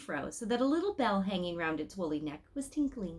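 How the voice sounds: With lively intonation, a woman speaks at a fairly quick pace.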